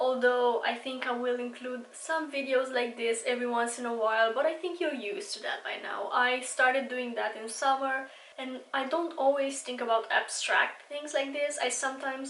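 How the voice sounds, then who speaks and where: Audible room echo surrounds a woman's high-pitched voice. She keeps a moderate pace and fairly even intonation, with hardly any pauses. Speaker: beauty vlogger. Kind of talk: casual monologue.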